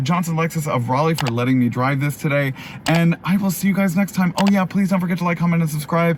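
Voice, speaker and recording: Noticeable background noise accompanies a man who speaks very fast at a high pitch with lively intonation. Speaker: car reviewer. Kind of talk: car review vlog while driving.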